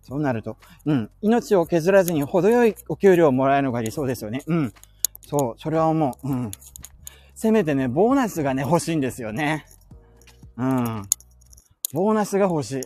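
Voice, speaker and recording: Music plays behind a man whose pitch swings very widely. He leaves long, frequent pauses. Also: moderate pace. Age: 30s. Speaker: podcaster. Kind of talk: casual chat. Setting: outdoors.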